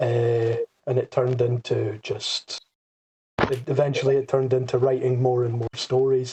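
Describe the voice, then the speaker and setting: A man speaks at medium pitch in a dark, mellow, somewhat breathy tone. Intonation is monotone and flat, at a moderate pace. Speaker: podcast co-host, fan fiction writer. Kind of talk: casual group chat.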